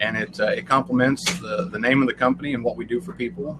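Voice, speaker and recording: A man talks at a very fast pace with lively intonation amid noticeable background noise. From Southern Illinois. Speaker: family business owner, smoker manufacturer. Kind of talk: casual interview. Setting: inside a bus at a food festival. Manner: halting, many fillers.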